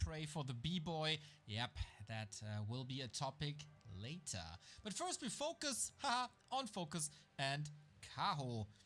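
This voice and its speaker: Over music in the background, a man with a fairly high pitch speaks at a fairly slow pace with very wide pitch swings and long, frequent pauses. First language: not English. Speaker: esports caster. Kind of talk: live commentary.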